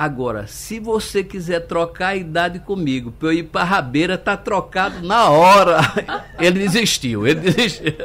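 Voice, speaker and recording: A man's high voice with lively intonation at a moderate pace, over noticeable background noise. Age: 60s. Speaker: state congressman. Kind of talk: casual anecdote in debate.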